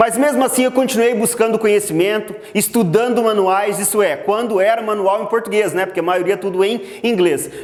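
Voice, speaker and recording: With noticeable background noise behind him, a man speaks at a high pitch and moderate pace, with hardly any pauses, very even loudness and fairly even intonation. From Brazil, Mato Grosso interior. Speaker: agricultural GPS instructor. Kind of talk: online lecture.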